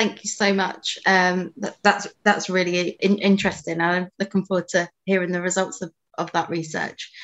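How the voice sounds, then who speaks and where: A woman speaks in a monotone, flat intonation with hardly any pauses. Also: medium pitch for a woman, moderate pace. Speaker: webinar moderator and events manager. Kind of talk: moderated panel Q and A. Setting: online webinar recording.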